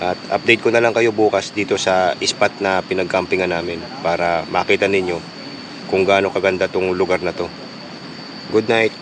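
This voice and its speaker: Over noticeable background noise, a man talks at a moderate pace in a very deep, low pitch. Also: fairly even intonation. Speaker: moto vlogger. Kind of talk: vlog narration. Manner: casual.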